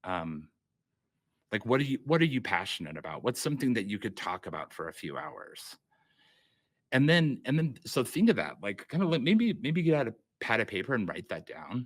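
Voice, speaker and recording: A man's medium-pitched voice with vocal fry, very wide pitch swings, and long, frequent pauses. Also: very clean recording, silent background. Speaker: workshop instructor. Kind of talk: workshop lecture. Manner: fast; halting, many fillers.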